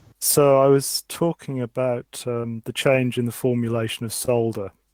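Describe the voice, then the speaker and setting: Recorded with a dry, close sound and no echo, a man speaks at a medium pitch and a moderate pace with fairly even intonation. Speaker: digital new media artist. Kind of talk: online workshop presentation. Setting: online conference call.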